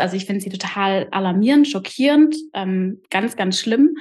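A woman talks at a moderate pace with a medium pitch and lively intonation. Her voice is somewhat breathy. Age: 30s. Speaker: podcaster and trainee coach. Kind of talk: interview.

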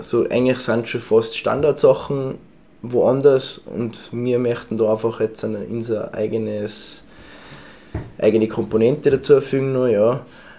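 In a Tyrolean accent, a man speaks at a fairly slow pace and medium pitch, his dark, mellow tone held in a monotone, flat intonation. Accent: Tyrolean Austrian German. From Tyrol, Austria. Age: 20s. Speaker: baker and bread sommelier. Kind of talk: casual interview. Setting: in his café.

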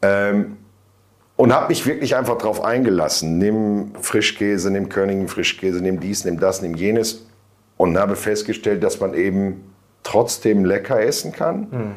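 A man at a fairly low pitch and a fairly slow pace, with ordinary pitch variation. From northern Germany (Bielefeld). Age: 50s. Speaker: self-employed weight-loss client. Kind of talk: interview testimony. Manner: hesitant, many fillers.

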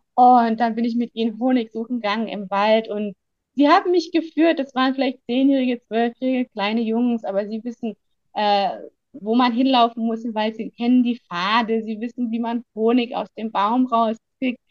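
Fairly high female voice, a plain, everyday voice, at a moderate pace in a dry, close sound with no echo. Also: ordinary pitch variation. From Germany. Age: 30s. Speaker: biologist and conservationist, book subject. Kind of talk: personal life story interview. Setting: video call from Tanzania.

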